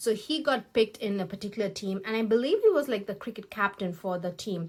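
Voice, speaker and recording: Speaking very fast with a Tamil accent, a woman uses a medium pitch and ordinary pitch variation in a very clean recording with a silent background. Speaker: beauty YouTuber. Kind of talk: get-ready-with-me vlog with commentary. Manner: casual, hesitant with fillers and restarts.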